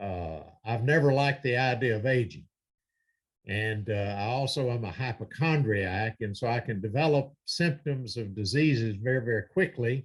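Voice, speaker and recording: Against a quiet background, a man with an American accent speaks at medium pitch and a moderate pace, somewhat breathy, with ordinary pitch variation. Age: 70s. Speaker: preacher. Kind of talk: sermon. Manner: hesitant with many fillers.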